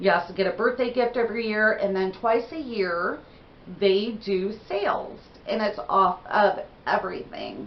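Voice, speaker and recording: Through noticeable background noise, a woman speaks at a moderate pace with a medium pitch and ordinary pitch variation. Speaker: beauty vlogger. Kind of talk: casual haul video talk. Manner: chatty, conversational.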